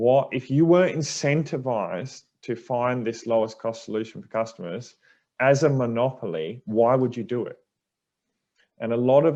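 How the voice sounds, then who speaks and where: With an Australian accent, a man talks at a moderate pace and medium pitch, his pitch varying in an ordinary way against a quiet background. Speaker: energy industry director. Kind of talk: panel Q&A answer.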